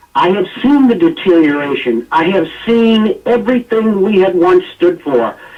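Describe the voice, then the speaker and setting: A man with an American accent speaks at a moderate pace in a high pitch with very wide pitch swings, over noticeable background noise. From United States. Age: 50s. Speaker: political commentator. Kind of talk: radio talk show discussion. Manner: animated.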